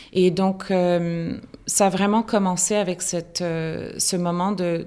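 This woman's voice sits fairly low in pitch. She delivers her words with monotone, flat intonation. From Argentina and many countries. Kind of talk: interview. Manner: halting.

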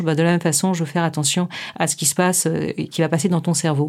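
A normal speaking voice, fairly quick and fairly even in intonation, on a very clean recording with a silent background. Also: woman. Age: 50s. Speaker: clinical psychologist. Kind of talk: interview.

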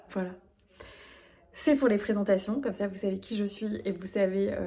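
A woman's voice at medium pitch. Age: 30s. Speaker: business coach. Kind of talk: solo podcast monologue.

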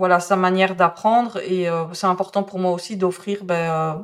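On a very clean recording with a silent background, a woman with a slight Belgian accent speaks in a medium pitch at a fairly slow pace, her intonation monotone and flat. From Belgium. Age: 40s. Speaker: calligraphy teacher. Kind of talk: podcast interview. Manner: hesitant, many fillers.

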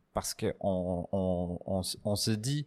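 A man with an English accent, fairly low-pitched, very slow, with fairly even intonation, on a very clean recording with a silent background. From northern England, Newcastle. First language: English (speaking French). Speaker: coffee roaster and barista. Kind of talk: casual interview. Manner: halting, many fillers and repetitions.

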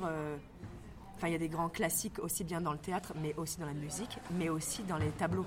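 Against noticeable background noise, a woman talks very fast in a fairly low pitch with fairly even intonation. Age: 20s. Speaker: actress and stage director. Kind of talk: casual interview. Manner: hesitant with many fillers.

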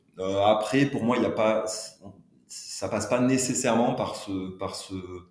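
In a room with audible echo, a man speaks at a fairly slow pace with long, frequent pauses. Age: 40s. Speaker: HR entrepreneur. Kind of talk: interview. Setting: on location at a business village.

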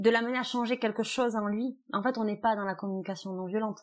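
At a fairly high pitch, a woman talks in a very clean recording with a silent background. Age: 30s. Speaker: family mediator. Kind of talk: interview. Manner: thoughtful, with hesitations.

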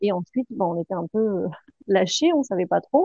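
Lively intonation marks this woman's speech. Her pitch sits in the medium range. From Picardy, northern France. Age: 40s. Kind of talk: interview testimony. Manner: hesitant, many fillers.

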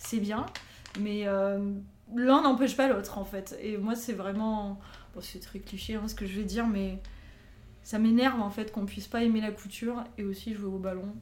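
A woman talks at medium pitch and a moderate pace with long, frequent pauses and monotone, flat intonation. Audible room echo fills the recording. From southern France, near Avignon. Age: 30s. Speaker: podcast guest, aspiring writer. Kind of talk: casual interview chat.

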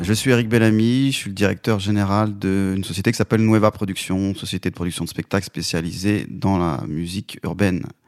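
A man with a plain, everyday voice talks at a fairly quick pace with hardly any pauses, his pitch fairly low with ordinary variation, on a very clean recording with a silent background and a dry, close sound with no echo. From Lyon suburbs, France (Vénissieux). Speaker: concert producer. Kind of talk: interview. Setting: studio.

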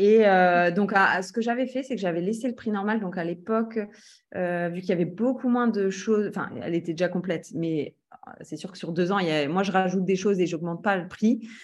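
Speaking at a fairly quick pace, a woman uses a medium pitch with ordinary pitch variation in a plain, everyday voice. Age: 30s. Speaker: real estate trainer and entrepreneur. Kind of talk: interview.

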